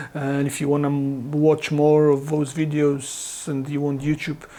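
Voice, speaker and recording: A dark, mellow tone at a moderate pace, with a Polish accent. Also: man. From Poland. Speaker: guitar gear reviewer. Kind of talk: product review talk to camera. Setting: home studio. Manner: halting, with many fillers and restarts.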